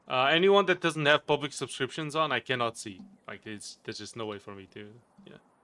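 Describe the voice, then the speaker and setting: With a slight Portuguese accent, a man talks fairly quickly in a bright, sharp tone at a fairly high pitch. His intonation is lively, his loudness swings widely, and the sound is dry and close with no echo. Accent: slight Portuguese accent, hardly noticed. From Portugal. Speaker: gaming streamer. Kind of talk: casual chat. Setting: live stream.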